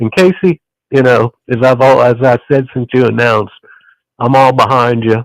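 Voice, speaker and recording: A man speaks with music playing in the background. The sound is dry and close, with no echo. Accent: Southern US. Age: 60s. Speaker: caller. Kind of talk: casual chat.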